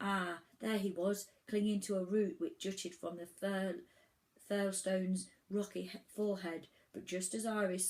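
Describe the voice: The delivery is plain reading aloud, its intonation fairly even.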